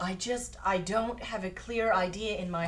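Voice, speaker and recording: Putting on a character voice at a medium pitch, a woman speaks over clear background noise. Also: moderate pace. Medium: comedy sketch.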